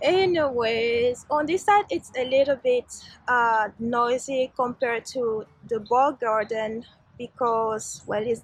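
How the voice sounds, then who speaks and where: A woman's fairly high voice with a non-native accent, at a very slow pace. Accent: foreign. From Switzerland. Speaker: vlogger. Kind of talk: casual vlog talk. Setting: outdoors in a garden.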